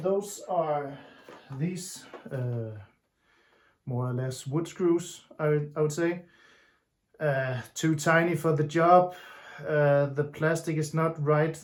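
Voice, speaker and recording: The speaker has a Danish accent and talks at a very slow pace. Long, frequent pauses break up the speech. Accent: Danish accent, noticeable. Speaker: DIY hobbyist. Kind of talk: tutorial. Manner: halting, many fillers.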